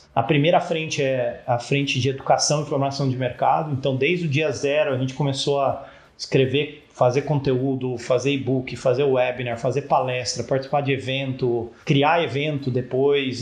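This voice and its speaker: A man with a plain, everyday voice speaks at a moderate pace and medium pitch with fairly even intonation. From Brazil, São Paulo state (Campinas). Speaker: startup founder, engineer. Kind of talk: interview.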